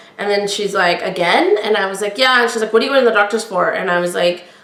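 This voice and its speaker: A woman talks in an animated tone at a medium pitch with ordinary pitch variation. Noticeable background noise can be heard. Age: 40s. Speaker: podcast host. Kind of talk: personal storytelling. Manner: projects loudly.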